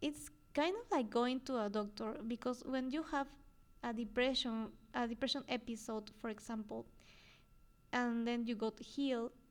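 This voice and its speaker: In a Spanish accent, a woman talks at a fairly slow pace with a high pitch and fairly even intonation. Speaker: podcast host, psychologist. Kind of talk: solo podcast talk. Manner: halting, frequent fillers and repetitions.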